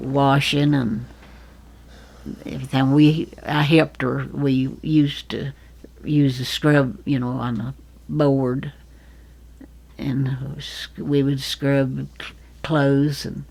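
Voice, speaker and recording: A very deep, low-pitched woman's voice in an Appalachian accent, very slow and monotone, with flat intonation and long, frequent pauses. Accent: Southern Appalachian American. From Fancy Gap, Virginia, US. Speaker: retired nurse. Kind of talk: interview answer.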